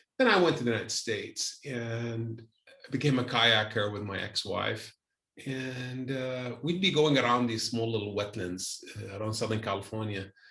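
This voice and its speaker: This man speaks at a moderate pace with a medium pitch. His pitch varies in an ordinary way. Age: 60s. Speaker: environmentalist and engineer. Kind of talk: interview. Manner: halting, with many repetitions.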